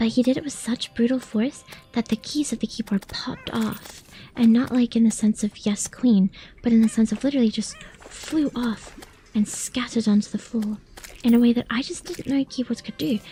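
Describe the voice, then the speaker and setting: Someone whispers quietly at a moderate pace. Noticeable background noise sits behind the voice. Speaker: vtuber streamer. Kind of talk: casual gaming livestream chat. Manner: quiet, near-whispering.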